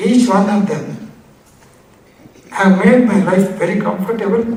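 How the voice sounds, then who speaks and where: Noticeable noise sits in the background. The talking proceeds fairly slowly. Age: 80s+. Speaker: author of an autobiography. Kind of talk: speech at a book release.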